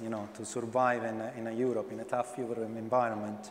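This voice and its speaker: Very fast speech from a man with an Italian accent, with audible room echo. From Italy. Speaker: blockchain panelist. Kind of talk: panel discussion.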